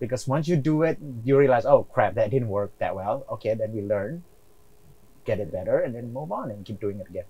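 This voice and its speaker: A man at medium pitch with an American accent, dark, mellow tone, somewhat breathy, lively intonation, big swings in loudness and a fairly quick pace. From outside the US. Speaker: real estate investor. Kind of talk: interview.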